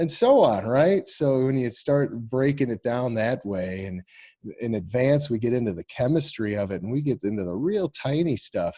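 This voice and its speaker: A man with a Midwestern US accent speaks at a medium pitch and moderate pace, with ordinary pitch variation. His tone is dark and mellow, and the sound is dry and close with no echo. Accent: US Midwest. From northern Illinois, Rockford area. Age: 40s. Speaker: college instructor. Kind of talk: online class lecture. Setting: video call. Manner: halting, many repetitions and fillers.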